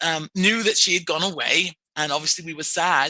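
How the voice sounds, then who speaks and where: In an English accent, a woman speaks with a bright, sharp tone. The sound is dry and close, with no echo. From England. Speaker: clinical social worker. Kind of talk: podcast interview.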